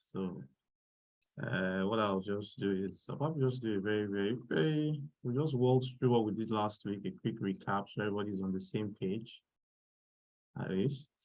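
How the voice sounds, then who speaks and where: A man's fairly low voice at a moderate pace, with ordinary pitch variation and long, frequent pauses. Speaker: workshop instructor. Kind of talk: online tutorial.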